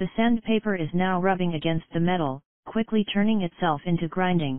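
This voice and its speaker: A woman with a normal speaking voice, middle-range pitch, typical pitch movement and an unhurried, moderate speed. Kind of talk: scripted horror narration, first-person creepypasta read aloud.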